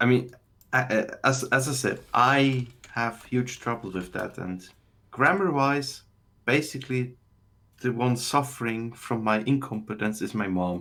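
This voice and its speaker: In a German accent, the speaker talks at a fairly slow pace with ordinary pitch variation and a bright, sharp tone. The recording is very clean, with a silent background. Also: man, medium pitch for a man. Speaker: call-in guest. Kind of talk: casual chat.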